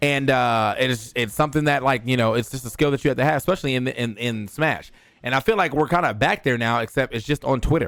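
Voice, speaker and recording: A man speaks at a very fast pace with hardly any pauses, an animated tone, a medium pitch and ordinary pitch variation. The recording is very clean, with a silent background. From US Mid-Atlantic (DC/Maryland/Virginia). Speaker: esports commentator and streamer. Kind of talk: casual vlog monologue. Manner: casual, animated.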